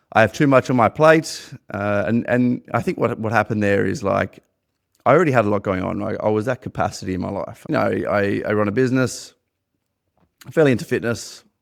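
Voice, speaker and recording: A man with an Australian accent talks at a fairly quick pace. His pitch is medium, with ordinary pitch variation. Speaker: podcast host and business owner. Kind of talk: personal testimony monologue. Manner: halting, many repeated words.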